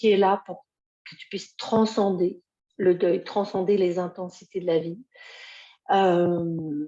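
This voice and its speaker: Very slow and full of long, frequent pauses, a woman's medium-pitched voice has a dark, mellow tone, fairly even intonation and big swings in loudness. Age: 60s. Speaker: grief mentor and healer. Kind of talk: live video talk. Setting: live video stream. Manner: hesitant, many fillers.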